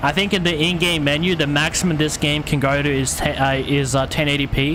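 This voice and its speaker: A fairly high-pitched man with an Australian accent, flat monotone delivery, and a fairly quick pace over noticeable background noise. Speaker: gaming streamer. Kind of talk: live game stream commentary. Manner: fast.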